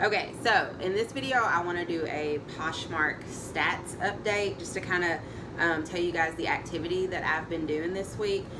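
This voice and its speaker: Over noticeable background noise and audible room echo, a woman talks at a moderate pace in a fairly low pitch with ordinary pitch variation. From Tennessee. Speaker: online reseller vlogger. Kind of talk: casual vlog update.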